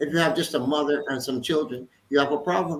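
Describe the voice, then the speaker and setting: This man speaks at a fairly high pitch with ordinary pitch variation. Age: 60s. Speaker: politician. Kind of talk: panel discussion. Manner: animated.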